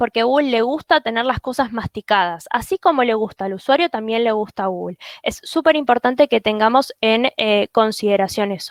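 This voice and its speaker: A woman talks with lively intonation and hardly any pauses. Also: fairly high pitch for a woman. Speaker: SEO specialist. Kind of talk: webinar presentation. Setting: live webinar. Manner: fast.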